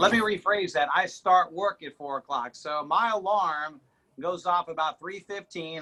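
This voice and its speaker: A man with an American accent at a moderate pace, with ordinary pitch variation. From Mississippi, US South. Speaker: TV weatherman. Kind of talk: casual chat. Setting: video call from home. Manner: loud.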